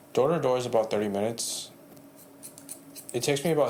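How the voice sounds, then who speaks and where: A man at a very fast pace with an American accent and medium pitch, with audible room echo. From San Jose, California. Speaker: barber. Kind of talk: podcast interview.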